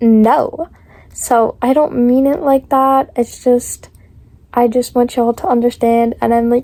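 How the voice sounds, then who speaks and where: A woman with an American accent has a high voice with a dark, mellow tone and fairly even intonation. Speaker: lifestyle vlogger. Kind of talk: casual advice chat. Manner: flat, disinterested-sounding; intense, aggressive-sounding at times.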